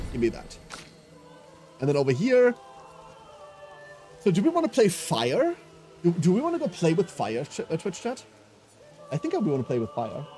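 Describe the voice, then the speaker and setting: Music plays in the background as a man speaks at a moderate pace with a high pitch. His very wide pitch swings are broken by long, frequent pauses. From Germany. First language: not English (English is third language). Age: 30s. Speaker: video game streamer. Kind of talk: live gameplay commentary. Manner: animated.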